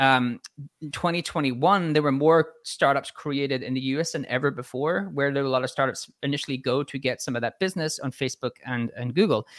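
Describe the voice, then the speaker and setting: A man's fairly high voice at a fairly quick pace, with hardly any pauses, ordinary pitch variation, and a dry, close sound with no echo. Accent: Irish. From Ireland (Dublin). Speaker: marketing executive. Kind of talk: casual interview. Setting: live stream video call.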